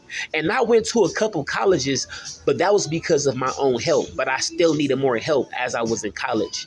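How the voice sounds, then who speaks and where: Over music in the background, a man with an American accent and a fairly high pitch speaks with hardly any pauses and very wide pitch swings. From Fort Wayne, Indiana (US Midwest). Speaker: video blogger. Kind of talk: casual monologue answering questionnaire.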